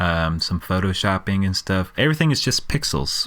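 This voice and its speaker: A fairly low-pitched man at a fairly quick pace, with noticeable background noise. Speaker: music reaction youtuber. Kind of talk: casual commentary.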